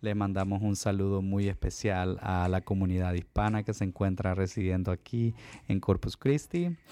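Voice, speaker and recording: A man's fairly low, dark, mellow voice at a fairly quick pace, with very even loudness and fairly even intonation, on a very clean recording with a silent background. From Honduras. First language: Spanish. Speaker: physician and language school director. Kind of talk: casual interview.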